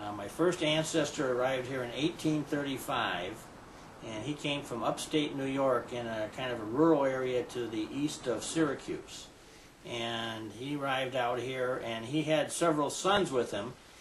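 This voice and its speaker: With an American accent, a man of medium pitch talks at a moderate pace with ordinary pitch variation, amid noticeable background noise and audible room echo. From US Midwest, Batavia, Illinois. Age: 60s. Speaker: mayor. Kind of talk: interview. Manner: halting.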